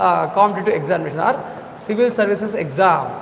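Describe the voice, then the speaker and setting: A man with a Telugu accent talks at a fairly quick pace in a high pitch, with ordinary pitch variation. Noticeable background noise and audible room echo are present. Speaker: civil services exam coaching teacher. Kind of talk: lecture. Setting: live online class. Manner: repetitive, frequent 'all right' fillers.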